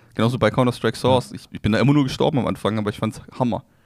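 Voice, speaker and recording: This man talks at a very fast pace with vocal fry. His pitch sits at a medium level, with ordinary variation. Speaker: podcast co-host. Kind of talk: casual chat. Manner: calm, relaxed.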